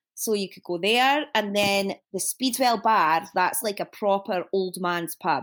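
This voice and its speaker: A woman with a Dundee accent at a fairly slow pace, in a very clean recording with a silent background. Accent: Dundee Scottish. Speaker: fashion designer and shop owner. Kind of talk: casual chat.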